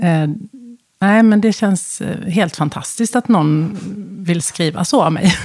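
A woman at medium pitch, fairly slow with long, frequent pauses, ordinary pitch variation and very even loudness. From Sweden, west coast (Halland). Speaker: business executive, former HR director. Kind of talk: interview conversation. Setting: studio.

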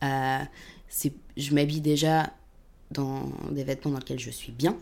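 With a dark, mellow tone, the speaker leaves long, frequent pauses, and the loudness swings widely. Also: woman. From Paris suburbs, France. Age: 20s. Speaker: communications agency worker. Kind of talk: casual interview. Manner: hesitant, many fillers.

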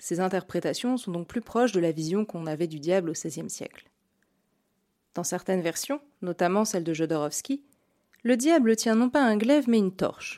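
A woman's medium-pitched voice, dark and mellow in tone, with lively intonation, a moderate pace and long, frequent pauses, on a very clean recording with a silent background. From Burgundy, France. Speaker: podcast host. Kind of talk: scripted narration. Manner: formal.

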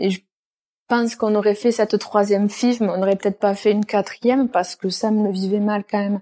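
With a southern French accent, a woman speaks at a fairly quick pace in a dark, mellow tone, the sound dry and close with no echo against a quiet background. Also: medium pitch for a woman. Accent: southern French, sing-song. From southern France. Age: 20s. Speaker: nurse and firefighter. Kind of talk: personal testimony interview.

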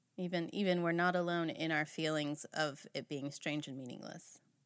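With a plain, everyday voice, a woman speaks at a moderate pace and a fairly low pitch. Her intonation is fairly even, and the background is quiet. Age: 30s. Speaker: podcast host and family therapist. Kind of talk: casual chat.

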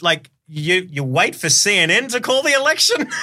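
With an Australian accent, a man speaks at a moderate pace using very wide pitch swings. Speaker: podcast host. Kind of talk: casual interview.

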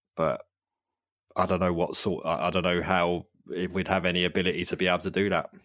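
A man with a London accent speaks at a very fast pace in a very deep, low pitch, monotone and flat, with very even loudness. The recording is very clean, with a silent background. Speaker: podcast host. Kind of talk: casual chat.

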